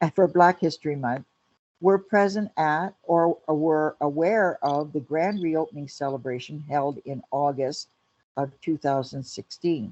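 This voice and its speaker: With a Canadian accent, a woman speaks at a fairly slow pace in a very deep, low pitch with ordinary pitch variation. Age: 70s. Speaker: community historian and lecturer. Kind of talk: lecture. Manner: formal.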